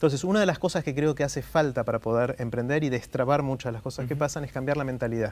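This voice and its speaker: This man's medium pitch shows ordinary variation. He races along very fast, barely pausing at all. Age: 50s. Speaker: TED talks organizer and author; interview guest. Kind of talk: interview. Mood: friendly, thoughtful. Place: studio.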